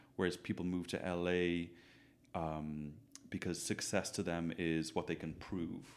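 This man speaks at a moderate pace in a very deep, low pitch, his intonation fairly even. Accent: Dublin. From Dublin, Ireland. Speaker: hairstylist. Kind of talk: casual interview chat. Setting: echoey room.

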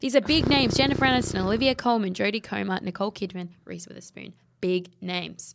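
At a very fast pace, a woman speaks in a medium pitch with ordinary pitch variation. Her loudness swings widely. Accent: Australian. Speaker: podcast co-host. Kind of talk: casual chat.

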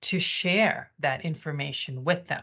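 A woman speaks with an American accent at a fairly slow pace. Her voice is somewhat breathy, with lively intonation. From United States. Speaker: corporate communications executive. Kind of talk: interview. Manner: hesitant, many fillers.

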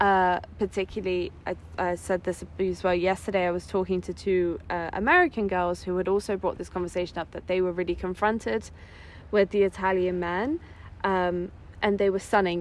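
Speaking at a moderate pace, a woman uses a medium pitch. Her intonation stays fairly even. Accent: English. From England. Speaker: psychosexology student. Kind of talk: casual chat. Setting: outdoors on a beach.

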